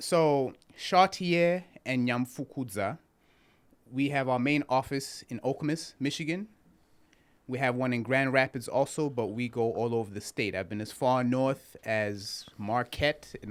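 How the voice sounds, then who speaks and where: A man's medium-pitched voice with a Zimbabwean accent, ordinary pitch variation and a fairly slow pace, on a very clean recording with a silent background. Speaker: criminal defense attorney. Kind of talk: interview.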